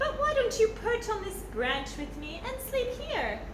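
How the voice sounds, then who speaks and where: A woman's squeaky, extremely high put-on character voice, with slight echo and loud background noise. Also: moderate pace. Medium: read story.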